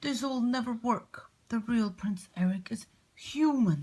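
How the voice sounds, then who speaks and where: A female-sounding voice puts on a character voice at a fairly high pitch. The pace is fairly slow. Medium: read story. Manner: fussy, scolding.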